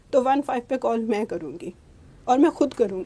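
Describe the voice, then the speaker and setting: A woman speaks in a high pitch. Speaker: interviewee, divorced mother. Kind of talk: personal testimony in interview. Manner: halting, with fillers.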